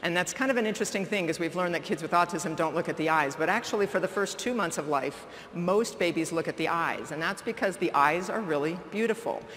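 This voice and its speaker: With noticeable background noise, a woman talks at a very fast pace with hardly any pauses. Her pitch is fairly low and varies in an ordinary way. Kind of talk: keynote lecture.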